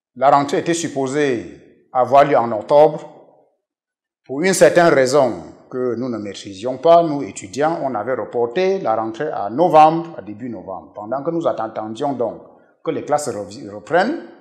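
Over a quiet background, a man with an unremarkable speaking voice talks at a fairly slow pace. His pitch is fairly high and his intonation lively. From western Cameroon. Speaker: professor and pastor. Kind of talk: interview testimony. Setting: TV studio. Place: studio. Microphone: lapel.

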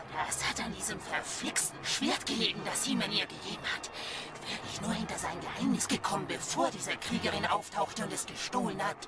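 Loud background noise behind a man's high-pitched voice at a fairly quick pace. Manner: scheming, cackling.

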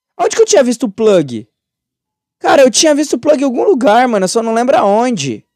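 At a fairly quick pace, a man talks in an extremely high pitch with lively intonation, the sound dry with no echo over a quiet background. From Brazil. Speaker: gaming youtuber. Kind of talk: gameplay commentary. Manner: animated. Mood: startled, excited, joking. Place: home room.

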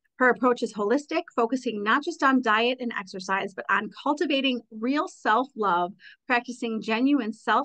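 Her voice is fairly high, bright and sharp. The woman sounds animated against a quiet background. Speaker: podcast host. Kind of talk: casual interview. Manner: animated, excitable. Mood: warm, smiling. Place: home room. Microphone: studio mic.

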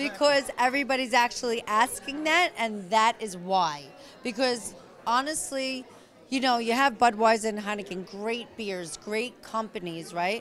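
A woman talks at a moderate pace with a fairly high pitch. Light background noise can be heard. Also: lively intonation. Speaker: wine and beer brand representative; guest. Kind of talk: promotional interview. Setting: event venue. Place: hall. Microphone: handheld.

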